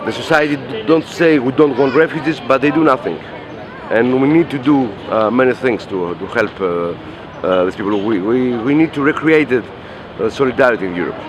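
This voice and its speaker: Lively intonation moves over a moderate pace. Noticeable background noise runs underneath. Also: man, medium pitch for a man. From Greece. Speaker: anarchist activist. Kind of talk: interview. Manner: halting, many fillers and repetitions.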